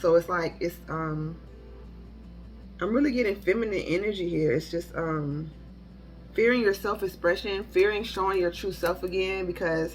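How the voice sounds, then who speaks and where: Music plays in the background as a woman speaks at a fairly low pitch with ordinary pitch variation. She takes long, frequent pauses. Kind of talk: tarot reading monologue. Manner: fast; halting with many fillers.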